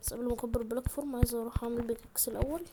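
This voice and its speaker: Someone speaks quietly in an Egyptian accent over noticeable background noise. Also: woman. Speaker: gaming YouTuber. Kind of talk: gameplay commentary. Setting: at home. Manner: quiet, subdued; animated, exclamatory.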